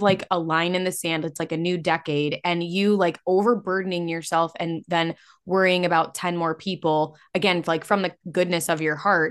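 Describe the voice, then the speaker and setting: A woman with an ordinary speaking voice, fairly low pitch and moderate pace over a quiet background. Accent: American. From Illinois. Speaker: podcast host and coach. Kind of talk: casual chat.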